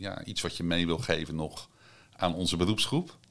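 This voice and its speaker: A man's very deep, low-pitched voice. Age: middle-aged. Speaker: podcast host and psychiatric nurse. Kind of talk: interview conversation. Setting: on location at an institution.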